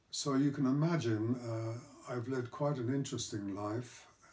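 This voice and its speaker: Fairly slow, somewhat breathy speech from a man with a dark, mellow tone. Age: 80s+. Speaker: retired executive with Parkinson's disease. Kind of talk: personal talk to camera. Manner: halting, with hesitations and stammers.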